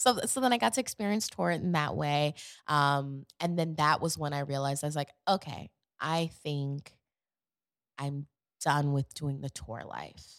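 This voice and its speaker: A woman with an American accent speaks at a very deep, low pitch and a moderate pace with ordinary pitch variation, captured in a very clean recording with a silent background and a dry, close sound with no echo. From Queens, New York and Atlanta. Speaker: professional dancer and actress. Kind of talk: casual interview chat.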